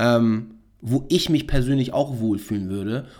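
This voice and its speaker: This man has a plain, everyday voice, pitched in the medium range, with fairly even intonation. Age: 30s. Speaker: podcast host and startup founder. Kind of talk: casual chat. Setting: studio.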